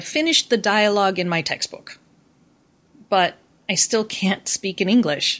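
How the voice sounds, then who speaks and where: Over a quiet background, a woman with an American accent has a plain, everyday voice, a medium pitch and ordinary pitch variation. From US. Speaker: university professor. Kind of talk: casual interview chat, educational discussion. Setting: remote call.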